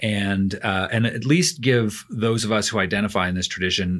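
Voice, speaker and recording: In a very clean recording with a silent background, a man with a Canadian accent uses a normal speaking voice, fairly low in pitch with ordinary pitch variation. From Canada. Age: 40s. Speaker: theology professor. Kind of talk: casual interview chat.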